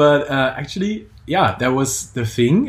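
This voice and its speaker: In a German accent, a man speaks at a moderate pace with lively intonation and a somewhat breathy voice. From Germany. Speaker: calisthenics coach and podcast co-host. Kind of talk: casual chat.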